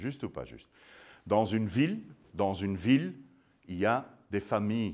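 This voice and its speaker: Against a quiet background, a man with a fairly low pitch talks at a moderate pace with ordinary pitch variation. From Belgium. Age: 50s. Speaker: sourdough expert and baker; guest. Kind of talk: public lecture. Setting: museum talk with live audience. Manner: animated. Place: hall.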